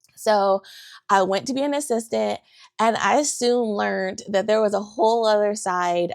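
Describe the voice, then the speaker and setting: Set against a silent background in a very clean recording, the voice sounds animated. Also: woman. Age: 40s. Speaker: photographer and podcast host. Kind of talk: casual monologue podcast.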